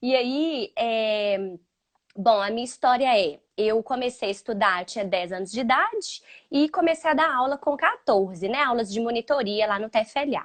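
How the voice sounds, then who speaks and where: With a strong Minas Gerais accent, a woman speaks at a moderate pace in a fairly high pitch, her intonation lively. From Minas Gerais, Brazil (Belo Horizonte). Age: 30s. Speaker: English teacher for children. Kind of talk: casual chat. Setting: live stream.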